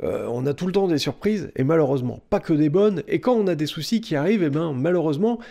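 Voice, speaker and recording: Against a quiet background, a man speaks at a fairly quick pace in a dark, mellow tone with a fairly high pitch. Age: 30s. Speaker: personal finance youtuber and author; personal finance youtuber. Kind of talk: direct-to-camera tutorial. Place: home room.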